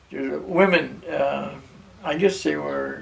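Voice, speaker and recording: A man with an American accent over noticeable background noise. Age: 80s+. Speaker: war veteran. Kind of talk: interview answer.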